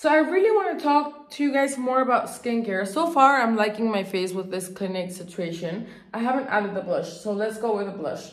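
Audible room echo surrounds a woman speaking at a moderate pace. Her intonation is lively. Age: 30s. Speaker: beauty youtuber. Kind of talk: casual chat. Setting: home, on a couch. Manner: chatty. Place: bathroom. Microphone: phone near.

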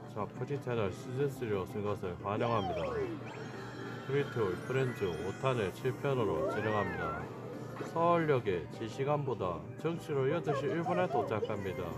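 A man speaks at a fairly slow pace with clear music in the background. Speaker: arcade game player vlogger. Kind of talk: casual vlog chat. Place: shop. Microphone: phone near.

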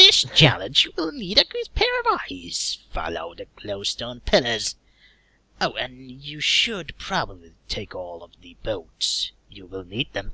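Fairly slow speech from a man in a put-on character voice.

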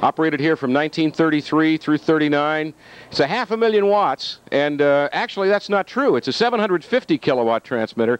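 A man talks at a very fast pace, his voice dry with no echo. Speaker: tour guide. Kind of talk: casual guided tour commentary. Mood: playful, joking. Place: factory. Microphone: handheld.

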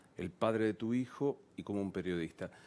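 In a Rioplatense accent, a man speaks at a moderate pace with lively intonation. His voice is fairly low, with a dark, mellow tone. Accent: Argentine Spanish (rioplatense). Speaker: TV interviewer. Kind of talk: interview.

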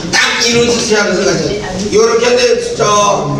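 A man at a very slow pace, with audible room echo and loud background noise. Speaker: church elder. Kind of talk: talk to a seminar audience. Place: hall.

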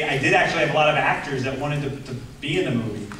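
The voice moves at a very fast pace with fairly even intonation, over light background noise and audible room echo. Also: man. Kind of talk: interview answer. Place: hall.

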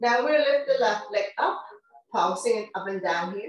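Audible room echo surrounds a woman speaking fairly slowly at a fairly high pitch with ordinary pitch variation. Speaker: fitness instructor. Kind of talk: guided workout instruction. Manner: calm, unhurried. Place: home room. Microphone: camera far.

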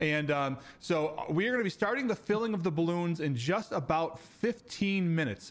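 A man speaks at a fairly slow pace with a high pitch. His pitch varies an ordinary amount. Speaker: live stream host. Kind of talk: live stream hosting. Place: home room.

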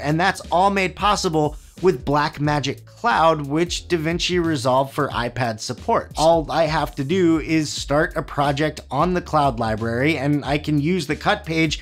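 Music plays behind a man speaking at a moderate pace. His pitch is fairly high, with ordinary variation. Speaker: video editing YouTuber. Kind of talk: tech review talk to camera. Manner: casual, upbeat.

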